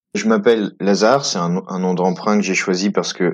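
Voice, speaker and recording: Fairly quick talk from a man with a fairly low pitch. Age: 30s. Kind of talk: testimony. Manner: halting.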